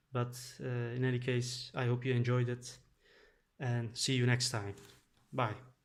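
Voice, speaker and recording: Somewhat breathy speech comes at a fairly slow pace with monotone, flat intonation and long, frequent pauses. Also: man, medium pitch for a man. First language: Dutch and Turkish. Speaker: board game youtuber. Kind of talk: gameplay commentary. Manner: halting, many filler sounds.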